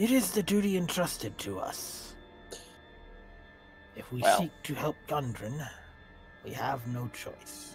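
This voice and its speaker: A man's put-on character voice, fairly high pitched and fairly slow, with long, frequent pauses and clear music in the background. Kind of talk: stately fantasy speech. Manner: formal, grave, deliberate.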